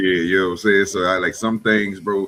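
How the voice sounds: Using a bright, sharp tone, a man talks at a fairly quick pace in a low pitch with little pitch movement.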